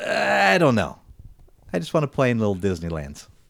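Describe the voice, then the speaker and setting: A man with an American accent, at a very fast pace, with very wide pitch swings. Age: 40s. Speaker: podcast host. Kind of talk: casual chat. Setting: studio.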